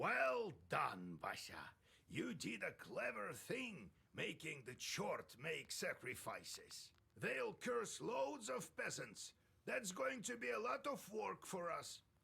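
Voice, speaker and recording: A man does a raspy, put-on character voice, high in pitch. He goes at a fairly slow pace. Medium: video game. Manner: grave, ominous.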